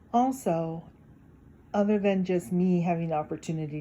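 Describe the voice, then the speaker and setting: A woman's voice comes across as dark and mellow, somewhat breathy and fairly low in pitch. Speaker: YouTube talk channel host. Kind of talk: casual reflective talk to viewers. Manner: occasional hesitations.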